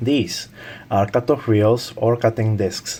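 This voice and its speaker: A man with a non-native accent talks at a very slow pace and medium pitch, varying his pitch an ordinary amount. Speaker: tool reviewer. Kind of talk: product review talk to camera.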